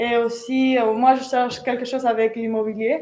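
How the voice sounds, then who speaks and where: With a non-native accent, a woman talks at a fairly high pitch. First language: not French (speaking French). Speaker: business school student. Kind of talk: live interview. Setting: on a business school campus.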